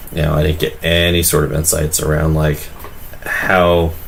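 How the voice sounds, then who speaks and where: A man speaks at a moderate pace in a very deep, low pitch with monotone, flat intonation. Audible room echo and noticeable background noise surround him. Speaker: livestreamer drawing and commenting on videos. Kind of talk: casual livestream commentary. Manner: hesitant, many fillers.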